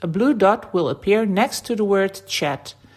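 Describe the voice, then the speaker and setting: On a very clean recording with a silent background, a woman with a Dutch accent speaks at a medium pitch and a moderate pace. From Netherlands. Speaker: website founder. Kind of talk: tutorial.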